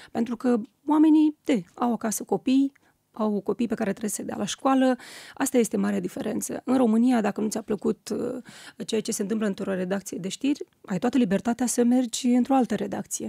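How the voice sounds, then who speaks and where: Against a quiet background with a dry sound and no echo, a woman speaks fairly quickly at a fairly high pitch, her tone dark and mellow and her pitch varying in an ordinary way. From Moldova, rural village. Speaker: TV news presenter. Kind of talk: interview. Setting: radio studio. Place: studio. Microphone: studio mic.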